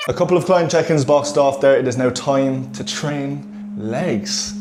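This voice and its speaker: A man speaks with an Irish accent and lively intonation at a fairly high pitch. Noticeable background noise can be heard. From Ireland. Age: 20s. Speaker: fitness coach and vlogger. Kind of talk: casual vlog talk. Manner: casual, chatty.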